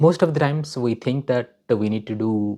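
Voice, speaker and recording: With a Telugu accent, a man speaks at a moderate pace over a quiet background. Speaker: vlogger. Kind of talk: personal self-help talk. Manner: hesitant, many fillers.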